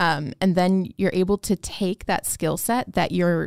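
A woman talks at a moderate pace and medium pitch, with vocal fry. The recording is very clean, with a silent background. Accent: American. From Chicago, south side. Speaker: hospital pharmacist. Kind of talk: interview. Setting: studio. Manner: hesitant with many fillers.

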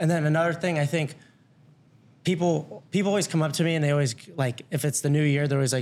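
Delivered at a very fast pace in an American accent, the speech keeps a very even loudness and fairly even intonation. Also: man. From Ohio, Loveland. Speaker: college basketball walk-on player. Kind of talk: casual chat.

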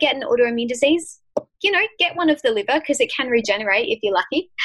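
A woman speaks fairly quickly with an Australian accent. Her pitch swings very widely. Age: 20s. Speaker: author and health advocate. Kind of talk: casual chat.

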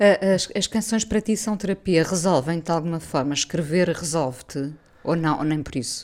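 A woman speaks in an unremarkable speaking voice at a fairly low pitch, with ordinary pitch variation. Her pace is moderate, and the recording is very clean with a silent background. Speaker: radio host. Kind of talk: radio interview.

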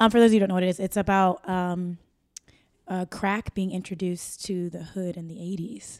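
Spoken at a fairly quick pace in an American accent, the voice stays monotone and flat while its loudness swings widely. The recording is very clean with a silent background. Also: woman, medium pitch for a woman. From US Midwest, Akron, Ohio (northeast Ohio). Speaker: actor. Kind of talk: casual interview chat.

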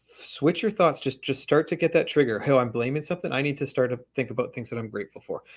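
On a very clean recording with a silent background, a man with a Western Canadian accent sounds somewhat breathy, his fairly high pitch varying in an ordinary way. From Canada, West Coast (Vancouver area). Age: 40s. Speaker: author. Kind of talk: interview conversation.

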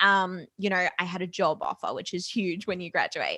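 With an Australian accent, a woman talks at a fairly quick pace and medium pitch in a bright, sharp tone, the sound dry and close with no echo. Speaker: entrepreneur and podcast host. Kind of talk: casual interview chat.

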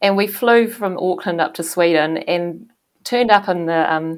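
A woman with a New Zealand accent speaks at a moderate pace in a fairly low pitch. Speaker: former ocean racing sailor. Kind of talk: interview. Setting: video call.

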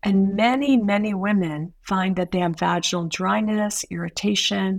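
A woman speaks at a moderate pace with medium pitch and ordinary pitch variation. It is a plain, everyday voice, captured in a very clean recording with a silent background. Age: 60s. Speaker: women's health nurse practitioner. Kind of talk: podcast interview.

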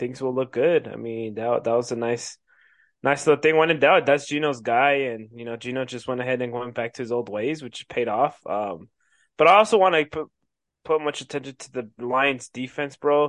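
Over a quiet background, a man with a normal speaking voice talks at medium pitch and a moderate pace, with big swings in loudness. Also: ordinary pitch variation. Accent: American. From Colorado. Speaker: sports podcast co-host. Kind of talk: casual chat.

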